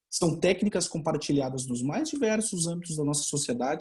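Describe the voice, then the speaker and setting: This man keeps a moderate speed. The variation in his pitch is ordinary. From Brazil. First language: Portuguese (speaking Spanish). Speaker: law researcher, doctoral candidate. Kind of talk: conference talk. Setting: online webinar.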